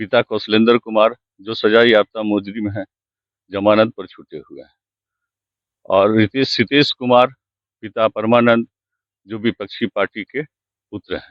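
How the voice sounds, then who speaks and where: A man speaks with monotone, flat intonation and long, frequent pauses. His loudness swings widely. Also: medium pitch for a man. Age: 60s. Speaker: complainant landowner. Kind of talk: interview.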